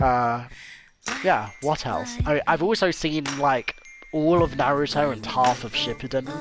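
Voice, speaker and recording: A fairly high-pitched man at a fairly slow pace, lively intonation, and music in the background. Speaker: gaming streamer and video essayist. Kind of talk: live gameplay stream chat. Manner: hesitant, many fillers and restarts.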